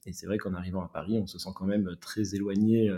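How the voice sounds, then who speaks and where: The voice belongs to a man with a fairly low pitch. His tone is dark and mellow. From southwest France. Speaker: urban greening entrepreneur. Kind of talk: interview. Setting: remote call. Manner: halting, frequent repetitions.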